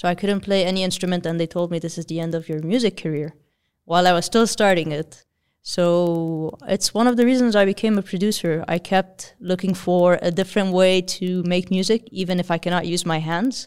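At a fairly quick pace, a woman with an Arabic accent speaks at medium pitch on a very clean recording with a silent background. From Lebanon. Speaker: electronic musician and producer. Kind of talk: casual interview. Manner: energetic.

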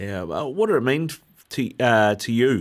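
This man with a New Zealand accent is heard on a very clean recording with a silent background. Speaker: sports radio host. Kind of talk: sports talk radio. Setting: radio studio.

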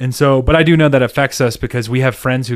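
Speaking at a very fast pace, a man has a slight Southern US accent. His pitch is medium. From US South, South Carolina. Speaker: podcast host, cyclist. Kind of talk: casual chat.

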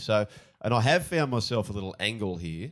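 With an Australian accent, a man speaks at a fairly low pitch and a moderate pace with ordinary pitch variation. The recording is very clean, its background silent. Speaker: former rugby league player turned pundit. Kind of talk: casual sports betting chat.

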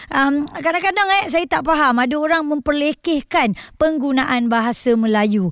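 Her intonation stays lively throughout. The woman keeps a moderate pace. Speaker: radio host. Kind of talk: radio talk show with interviews.

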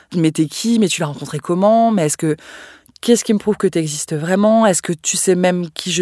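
A woman's unremarkable speaking voice at medium pitch and a moderate pace, on a very clean recording with a silent background. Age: 30s. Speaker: communications manager sharing a personal story. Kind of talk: testimony.

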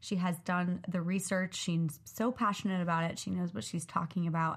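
A woman talks at a fairly quick pace in a somewhat breathy voice. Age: 20s. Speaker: podcast host. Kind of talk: casual chat.

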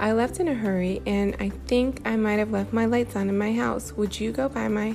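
Just a natural reading voice

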